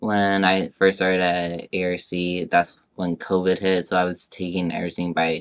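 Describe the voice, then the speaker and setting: With an American accent, a man speaks at a moderate pace in a very deep, low pitch and a flat monotone. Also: quiet background. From Northern California, Woodland. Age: 20s. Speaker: community college student. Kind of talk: oral history interview. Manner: halting.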